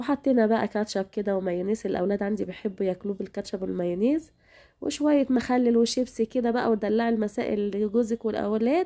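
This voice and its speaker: The voice has an Egyptian accent and a dark, mellow tone, with ordinary pitch variation. It moves at a fairly quick pace with hardly any pauses on a very clean recording with a silent background. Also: woman, fairly high pitch for a woman. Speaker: cooking channel host. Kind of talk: cooking tutorial. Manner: casual, chatty.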